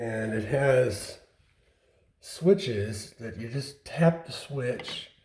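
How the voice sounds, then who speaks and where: A man's somewhat breathy voice with a dark, mellow tone, a medium pitch and ordinary pitch variation. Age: 70s. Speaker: DIY home builder. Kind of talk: house tour. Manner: casual, conversational.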